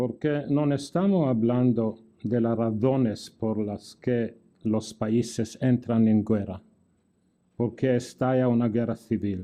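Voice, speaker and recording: At a very slow pace, a man talks in a medium pitch. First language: not Spanish (speaking Spanish). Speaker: law professor. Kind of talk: lecture. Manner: halting.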